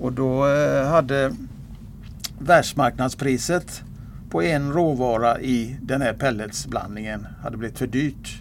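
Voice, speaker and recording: At a very slow pace broken by long, frequent pauses, a man speaks at medium pitch with ordinary pitch variation. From Gothenburg, western Sweden. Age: 70s. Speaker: retired harness racing trainer. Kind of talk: interview.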